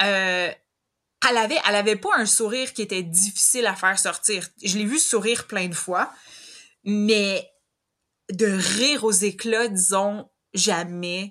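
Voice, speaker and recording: In a Quebec accent, the speaker goes at a very slow pace with long, frequent pauses, a bright, sharp tone and fairly even intonation. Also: woman, medium pitch for a woman. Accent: Québécois French. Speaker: host's older sister. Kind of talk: casual interview.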